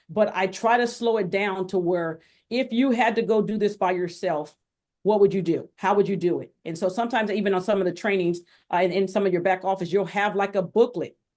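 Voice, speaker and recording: The speech is fairly quick, set against a quiet background. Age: 50s. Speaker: crypto educator. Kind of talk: interview. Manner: fast; animated.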